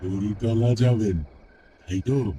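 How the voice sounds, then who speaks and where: In a cartoonish character voice, a man speaks at a fairly low pitch with ordinary pitch variation. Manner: calm, knowing, evasive.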